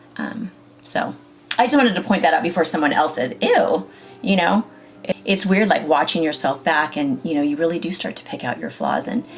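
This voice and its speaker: Over music in the background, a woman with a fairly low pitch talks at a fairly quick pace, her voice making very wide pitch swings. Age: 40s. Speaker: beauty vlogger. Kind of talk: makeup tutorial. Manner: casual, many fillers.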